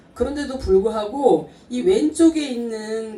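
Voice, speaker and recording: A woman's fairly high voice is heard through noticeable background noise. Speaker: network marketing distributor. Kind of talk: business presentation to audience.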